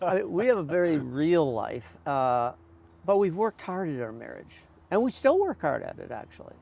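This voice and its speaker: In a very clean recording with a silent background, a man with an American accent speaks at high pitch, with very wide pitch swings and big swings in loudness. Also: moderate pace. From US Midwest. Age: 70s. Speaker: pastor. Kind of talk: interview testimony.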